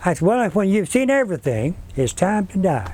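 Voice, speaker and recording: With a Texan accent, this dark, mellow voice moves at a fairly slow pace through very wide pitch swings. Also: man. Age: 80s+. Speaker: retired school teacher. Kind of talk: interview answer.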